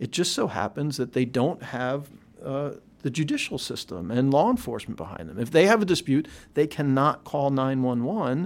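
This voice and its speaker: With an American accent and a plain, everyday voice, a man speaks at a moderate pace and a fairly high pitch with lively intonation, in a very clean recording with a silent background. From Philadelphia. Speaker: epidemiologist. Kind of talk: interview. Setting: office.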